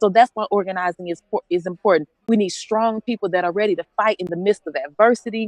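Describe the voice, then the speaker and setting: A passionate, very fast delivery with a dry, close sound and no echo. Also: woman, medium pitch for a woman, ordinary pitch variation. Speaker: registered nurse, pastor and activist. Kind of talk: rally speech. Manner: passionate, emphatic.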